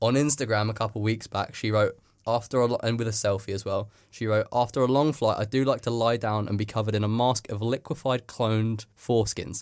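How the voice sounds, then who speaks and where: On a very clean recording with a silent background, a man with an ordinary speaking voice talks at a fairly quick pace. His pitch is medium and his intonation fairly even. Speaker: radio host. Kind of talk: casual comedy radio show chat. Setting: studio.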